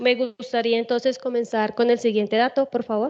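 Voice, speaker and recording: The woman's pitch is fairly high. Her intonation stays flat and monotone. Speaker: school teacher, doctoral student presenting research. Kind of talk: conference presentation. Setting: conference auditorium. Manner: loud, forceful.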